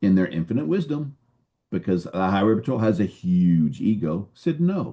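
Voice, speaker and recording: The speaker's dark, mellow tone moves through very wide pitch swings in an American accent. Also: man, fairly low pitch for a man. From San Francisco, California. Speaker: retired highway patrol officer, suicide prevention speaker. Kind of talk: interview storytelling. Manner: fast.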